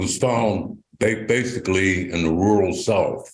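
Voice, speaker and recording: Amid audible room echo, a man speaks fairly slowly in a somewhat breathy, fairly low voice with fairly even intonation. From western Pennsylvania, Mon Valley. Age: 70s. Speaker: retired steelworker and local resident. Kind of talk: personal testimony at a town hall. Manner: halting.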